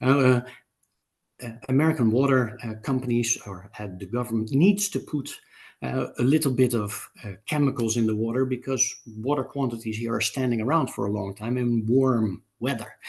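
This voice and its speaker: Ordinary pitch variation marks a man's medium-pitched voice. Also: moderate pace. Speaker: amenity supplier executive. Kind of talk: webinar panel talk. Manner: halting, many fillers.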